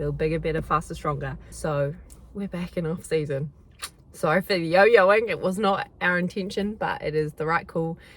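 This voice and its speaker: In a New Zealand accent, a woman speaks with a fairly low pitch and vocal fry. Her tone is animated, with ordinary pitch variation and a moderate pace. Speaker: athlete vlogger. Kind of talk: casual vlog chat. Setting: in a car.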